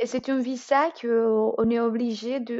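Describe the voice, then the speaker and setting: A woman speaks in a strong Colombian accent with a high pitch and monotone, flat intonation. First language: Spanish (speaking French). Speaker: student. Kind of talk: interview. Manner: halting.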